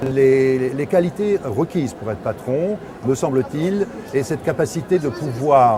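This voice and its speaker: Music plays in the background as a man speaks fairly slowly at a fairly high pitch with lively intonation. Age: 60s. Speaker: small agency director. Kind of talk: interview. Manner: hesitant.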